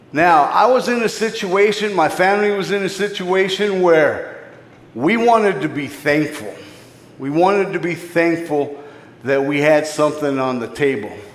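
A man's high-pitched voice with an American accent and lively intonation at a moderate pace, amid audible room echo and noticeable background noise. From US Southwest, inner-city Phoenix, Arizona. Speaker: ministry leader and preacher. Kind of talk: sermon.

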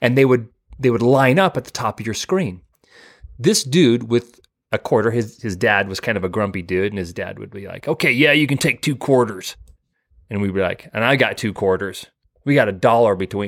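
A man's plain, everyday voice with an American accent, medium pitch, lively intonation and a moderate pace. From southeast Idaho, US. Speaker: podcast co-host. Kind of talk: casual chat. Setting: video call.

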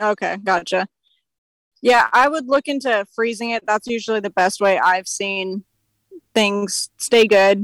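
The voice is a plain, everyday voice with an American accent and ordinary pitch variation. It moves at a fairly slow pace, with a dry, close sound and no echo. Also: woman, medium pitch for a woman. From California. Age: 20s. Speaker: hunter. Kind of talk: casual chat. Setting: outdoors.

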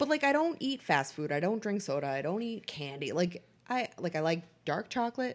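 Over a quiet background, a woman with an American accent and a medium pitch speaks at a moderate pace with very wide pitch swings. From Boston. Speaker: podcast co-host. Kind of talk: casual chat. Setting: home living room. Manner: laughs a lot.

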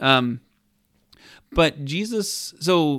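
An American-accented man, very clean recording, silent background. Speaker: podcast co-host. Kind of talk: casual banter, Q&A. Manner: joking, laughs a lot.

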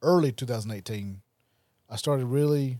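Speaking with a rural Southern US accent, a man talks at medium pitch and a moderate pace with ordinary pitch variation and a dark, mellow tone, in a dry, close sound with no echo. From rural Mississippi, Wayne County. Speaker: recovery podcast host. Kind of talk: testimony.

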